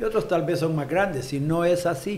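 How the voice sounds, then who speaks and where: A man speaks with fairly even intonation, and audible room echo surrounds his voice. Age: 60s. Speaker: politician. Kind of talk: interview.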